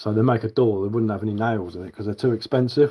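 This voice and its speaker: This man speaks very fast with an English accent. His pitch is medium and his intonation fairly even. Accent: English, that is how I speak. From southern England. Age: 40s. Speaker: bushcraft livestreamer. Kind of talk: casual livestream chat. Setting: live stream. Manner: casual, chatty.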